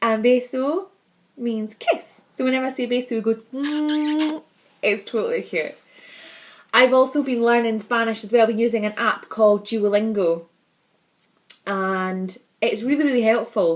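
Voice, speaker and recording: In a Scottish accent, a woman speaks at a moderate pace with long, frequent pauses. Her voice is fairly high, with ordinary pitch variation. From Scotland. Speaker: vlogger, mother. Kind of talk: casual vlog monologue.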